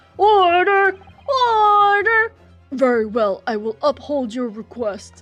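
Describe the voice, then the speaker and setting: A female-sounding, put-on character voice speaks high and fairly slowly, with very wide pitch swings. Faint music plays in the background. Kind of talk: formal courtroom. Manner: stern, commanding.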